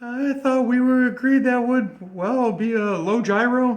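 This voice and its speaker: A man's put-on character voice at an extremely high pitch, with fairly even intonation and a fairly slow pace. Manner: stammering, hesitant.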